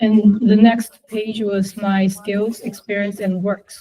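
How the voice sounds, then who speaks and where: In a Chinese accent, a woman speaks at a medium pitch, somewhat breathy, with a dark, mellow tone. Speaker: university student. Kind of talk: class presentation. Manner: halting, many fillers.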